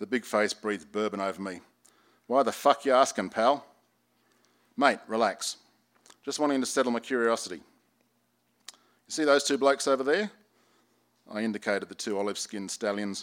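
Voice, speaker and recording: Speaking with an Australian accent at a medium pitch, a man moves at a fairly quick pace with ordinary pitch variation. Long, frequent pauses break up his speech. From Sydney, Australia. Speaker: former detective and novelist. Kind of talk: reading aloud. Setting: bookstore reading with audience.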